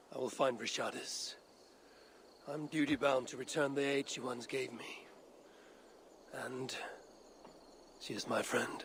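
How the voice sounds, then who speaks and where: A man puts on a raspy character voice at medium pitch and a moderate pace. He leaves long, frequent pauses over light background noise. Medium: video game. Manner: blunt, terse.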